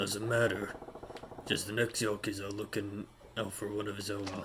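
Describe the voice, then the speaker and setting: A man uses a put-on character voice, raspy and fairly low, at a moderate pace. His intonation is monotone and flat, with light background noise behind him. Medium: virtual streamer. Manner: gruff, blunt.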